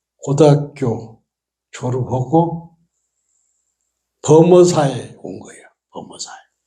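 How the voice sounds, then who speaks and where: With audible room echo, a man speaks at a very slow pace in a dark, mellow tone with ordinary pitch variation. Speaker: Buddhist monk giving a dharma talk. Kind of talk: sermon. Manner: casual storytelling with frequent fillers.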